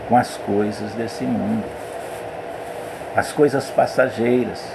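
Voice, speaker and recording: Amid noticeable background noise and audible room echo, a man with a medium pitch speaks at a very slow pace with lively intonation. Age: 60s. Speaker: pastor. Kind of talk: sermon.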